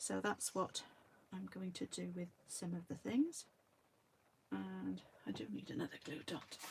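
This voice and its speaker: A woman with a very deep, low pitch and a somewhat breathy voice talks at a fairly slow pace, using very wide pitch swings and long, frequent pauses. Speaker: card crafter demonstrating stamping. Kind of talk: crafting tutorial. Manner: quiet; hesitant, many fillers. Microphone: no external microphone, voice quiet.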